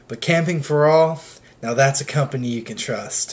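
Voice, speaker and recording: A man with a fairly high pitch and an upbeat tone at a moderate pace, music in the background. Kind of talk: mock infomercial skit. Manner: casual, mildly annoyed then upbeat.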